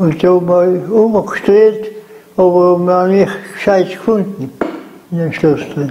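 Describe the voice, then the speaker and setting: Over light background noise, a man with a South Tyrolean accent speaks very slowly in a high voice with fairly even intonation. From South Tyrol, Lana. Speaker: contemporary witness. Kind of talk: interview answer. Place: home room. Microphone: lapel.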